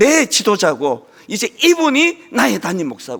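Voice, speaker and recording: An animated tone from a man at a moderate pace. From rural South Korea. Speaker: pastor. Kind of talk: sermon.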